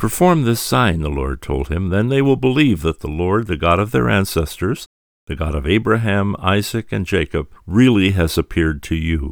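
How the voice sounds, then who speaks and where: Very clean, silent-background recording of a man with a very deep, low pitch, vocal fry, and very wide pitch swings. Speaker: radio host. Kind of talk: scripted narration.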